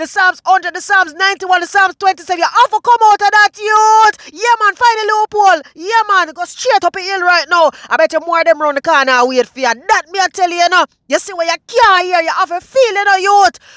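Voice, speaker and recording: In a Jamaican accent, a man speaks at an extremely high pitch and a very fast pace, his raised, projected voice bright and sharp, with ordinary pitch variation and a dry, close sound with no echo. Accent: Jamaican Patois. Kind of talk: comedic nature-video commentary. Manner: animated, excited.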